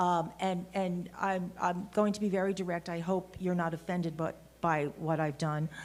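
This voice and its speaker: In a New York accent, the speaker talks with monotone, flat intonation. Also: woman, fairly low pitch for a woman, moderate pace. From Brooklyn, New York. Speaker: lawyer. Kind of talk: conference panel talk. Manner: halting.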